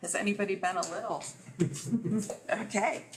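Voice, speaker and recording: Noticeable background noise runs under the recording. A woman speaks at a medium pitch. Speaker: nonprofit development director. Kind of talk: presentation. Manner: loud.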